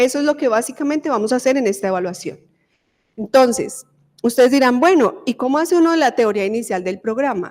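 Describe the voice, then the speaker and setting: Lively in intonation, a woman speaks at a high pitch and a fairly quick pace. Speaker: university professor and dentist researcher. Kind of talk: lecture.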